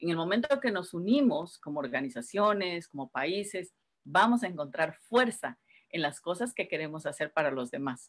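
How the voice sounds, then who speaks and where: Fairly low-pitched woman's speech at a moderate pace, lively intonation, quiet background. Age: 50s. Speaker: writer and community organizer; guest. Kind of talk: casual interview. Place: home room. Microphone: video call.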